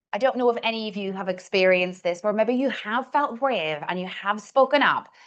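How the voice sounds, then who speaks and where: A woman talks in a Northern Irish accent at a fairly high pitch, with ordinary pitch variation. The background is quiet. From Northern Ireland. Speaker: communication coach. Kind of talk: coaching workshop. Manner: deliberately slowed pace.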